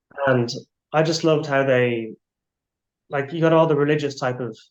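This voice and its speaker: With an Irish accent, a man talks at a fairly quick pace. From Ireland. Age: 20s. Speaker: abstract artist. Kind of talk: interview.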